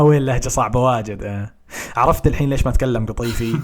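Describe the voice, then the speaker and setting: A man talks at a fairly quick pace, his pitch medium. He uses ordinary pitch variation. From Saudi Arabia, Qatif (Eastern Province). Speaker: Shia commentator in online debate. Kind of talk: debate.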